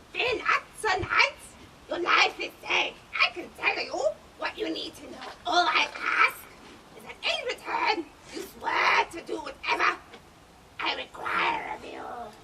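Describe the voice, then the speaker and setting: In a put-on character voice, the speaker goes at a fairly slow pace with long, frequent pauses over loud background noise. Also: woman, extremely high pitch for a woman. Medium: stage play. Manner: sly, knowing.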